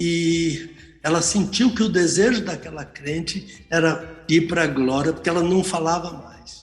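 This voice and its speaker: A man's high-pitched voice at a fairly slow pace, fairly even in intonation, with audible room echo and music in the background. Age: 70s. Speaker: pastor and Bible teacher. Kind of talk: radio Bible teaching. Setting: live radio broadcast.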